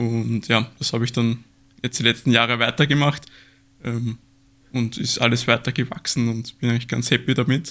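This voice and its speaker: Bright and sharp in tone, a man with a slight Austrian accent speaks at medium pitch and a moderate pace, his intonation monotone and flat, with long, frequent pauses. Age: 20s. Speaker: aquascaping YouTuber. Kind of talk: casual interview.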